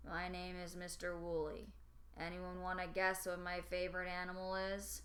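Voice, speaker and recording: Against clear background noise, a woman uses a drawling, put-on character voice at a moderate pace. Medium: read story. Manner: drawling monotone, never changes pitch.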